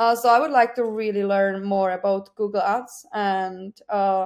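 Spoken at a fairly slow pace with a Czech accent, this is a very clean recording over a silent background. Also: woman. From Czech Republic. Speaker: digital marketing account manager. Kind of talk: interview. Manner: hesitant with many fillers.

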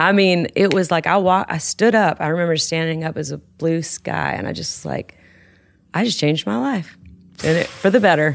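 In a very clean recording with a silent background, a woman with a Southern US accent speaks at a moderate pace, fairly low in pitch, with lively intonation. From West Tennessee. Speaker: country songwriter. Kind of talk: casual chat.

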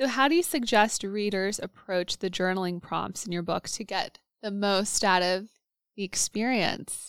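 A woman's normal speaking voice at medium pitch and moderate pace, ordinary pitch variation, dry and close with no echo. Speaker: podcast host and therapist. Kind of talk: casual interview chat. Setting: video call.

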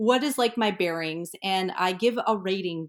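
A woman with an American accent speaks in a normal speaking voice at medium pitch and a moderate pace, with ordinary pitch variation, on a very clean recording with a silent background. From Colorado mountains. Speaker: real estate agent. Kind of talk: interview.

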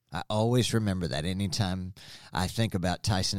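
This man has a very deep, low voice and an Arkansas accent. The recording is very clean, with a silent background. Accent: Arkansas Southern US. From Springdale, Arkansas, US South. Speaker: former student, business owner. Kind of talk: interview. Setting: at the school.

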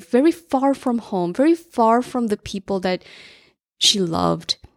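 Recorded very cleanly against a silent background, a woman with a plain, everyday voice speaks fairly slowly at a fairly high pitch with lively intonation. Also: dry, close sound with no echo. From US Northeast, New Jersey. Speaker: career coach and podcast host. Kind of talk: personal monologue.

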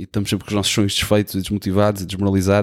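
With a European Portuguese accent, a man with a fairly low pitch talks at a very fast pace in a monotone, flat way, on a very clean recording with a silent background and a dry, close sound with no echo. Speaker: podcast host. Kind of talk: solo podcast monologue. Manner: casual.

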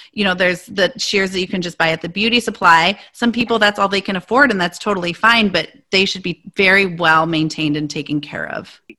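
A woman's bright, sharp voice at medium pitch with an American accent, fairly quick and with hardly any pauses. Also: ordinary pitch variation. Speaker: hairstylist and podcast host. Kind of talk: casual interview.

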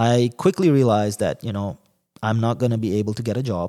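Recorded very cleanly with a silent background and a dry, close sound with no echo, a man with a medium pitch and a dark, mellow tone speaks at a fairly quick pace with ordinary pitch variation. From Dubai, UAE (Yemeni parents). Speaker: podcast host, investor. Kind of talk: solo monologue. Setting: office.

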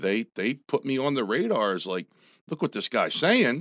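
Loud and with vocal fry, a man in an American accent speaks at a moderate pace with very wide pitch swings. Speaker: army veteran and former political candidate. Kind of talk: radio interview. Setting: radio studio.

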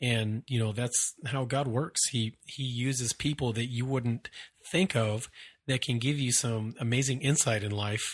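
This is a very clean recording with a silent background. The voice is somewhat breathy and moves at a fairly slow pace. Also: man, medium pitch for a man, fairly even intonation. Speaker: podcast host and military veteran. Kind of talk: casual monologue.

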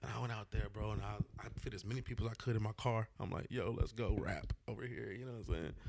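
The speaker, in an American accent, talks at a very fast pace with vocal fry and hardly any pauses. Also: man, fairly low pitch for a man, fairly even intonation. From Austin, Texas. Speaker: event host and DJ. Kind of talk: casual chat.

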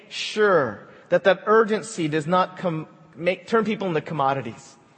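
Noticeable background noise is present throughout. Over it, a man talks at a high pitch. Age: 40s. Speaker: pastor. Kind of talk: sermon.

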